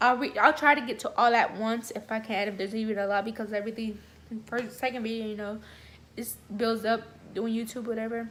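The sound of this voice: A woman talks at a fairly quick pace. Her voice is fairly high with a fairly bright tone and fairly even intonation.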